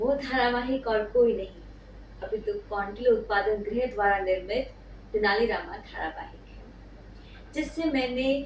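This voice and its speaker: A woman speaks with a Bengali accent. Audible room echo surrounds her voice. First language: Bengali (speaking Hindi). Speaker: YouTuber. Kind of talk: scripted monologue. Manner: formal.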